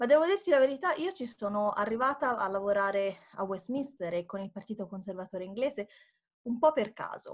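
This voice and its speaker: In a Tuscan accent, a woman with a fairly high pitch speaks at a fairly quick pace with lively intonation. Her loudness swings widely, over a quiet background. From Tuscany, Italy. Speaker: democracy support worker; interview guest. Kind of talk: interview. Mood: warm, smiling. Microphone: video call.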